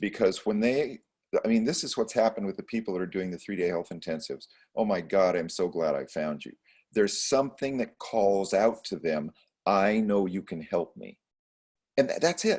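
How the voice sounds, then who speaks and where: At a moderate pace, a man talks in a fairly low pitch with lively intonation. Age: 60s. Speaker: chiropractor and holistic practitioner. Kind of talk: podcast interview. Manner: halting, many fillers and repeated words.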